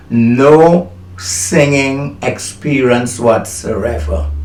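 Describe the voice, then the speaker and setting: A man's voice carries audible room echo and noticeable background noise. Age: 70s. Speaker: motivational speaker. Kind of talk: testimony. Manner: halting.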